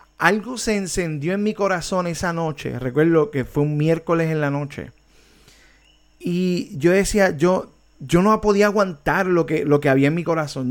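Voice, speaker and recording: A man's high pitch with ordinary pitch variation at a moderate pace. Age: 40s. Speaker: worship ministry teacher. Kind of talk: online discipleship class. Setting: online video meeting. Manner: hesitant, many repetitions.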